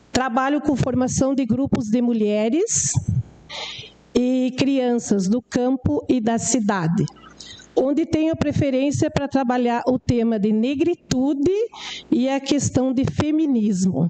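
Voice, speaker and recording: Over noticeable background noise, a woman with a high pitch speaks at a very slow pace and very even loudness. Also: ordinary pitch variation. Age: 60s. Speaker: rural settler and community educator. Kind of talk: formal speech to city council. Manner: formal, occasionally halting.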